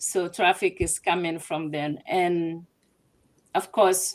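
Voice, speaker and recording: A woman speaks very slowly with a Togolese accent. Her pitch is fairly low and her intonation fairly even. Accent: West African Francophone (Togolese). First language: Ewe (also French). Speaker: translation business owner. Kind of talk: interview.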